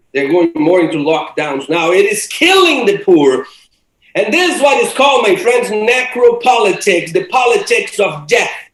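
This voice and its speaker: With very wide pitch swings and an extremely high pitch, a man speaks at a moderate pace amid audible room echo. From Brazil. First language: Portuguese. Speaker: theology professor. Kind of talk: lecture.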